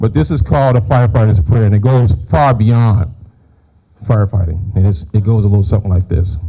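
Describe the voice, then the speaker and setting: In a normal speaking voice, a man talks at a fairly quick pace and fairly low pitch, with ordinary pitch variation and very even loudness. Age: 60s. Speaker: firefighter. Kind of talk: public speech.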